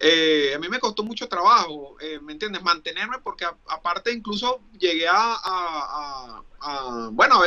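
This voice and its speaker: A man speaks in a raised, projected voice with a Venezuelan accent. His tone is bright and sharp. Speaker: Paralympic sports promoter. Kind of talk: casual chat.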